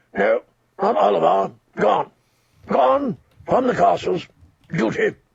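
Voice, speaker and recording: Putting on a raspy character voice, a man speaks fairly slowly with long, frequent pauses. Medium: read story. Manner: curt, evasive.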